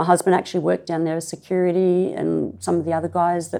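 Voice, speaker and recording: Talking at a very fast pace in an Australian accent, a woman uses a fairly low pitch against a quiet background. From Sydney, Australia (Clovelly). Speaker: local resident sharing memories. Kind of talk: oral history interview. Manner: hesitant, many fillers.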